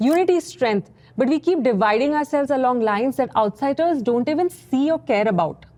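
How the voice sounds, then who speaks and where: With an Indian accent, the speaker moves at a fairly quick pace with lively intonation. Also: woman. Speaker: content creator, NRI commentator. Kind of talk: scripted commentary.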